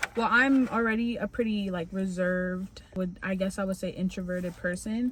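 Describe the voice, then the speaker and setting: Fairly even in intonation, a woman speaks at a moderate pace with a medium pitch. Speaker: vlogger. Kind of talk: vlog monologue. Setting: recording on the go, walking home. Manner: quiet.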